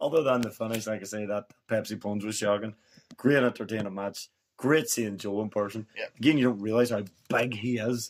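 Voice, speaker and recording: At a fairly quick pace, a man speaks in a Scottish accent at a medium pitch. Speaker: podcast co-host.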